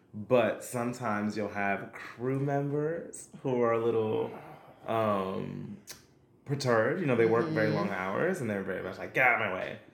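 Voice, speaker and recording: With an American accent, a man at a medium pitch speaks at a moderate pace with ordinary pitch variation, and audible room echo surrounds him. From Brooklyn, New York. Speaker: singer, actor and dancer. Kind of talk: casual chat.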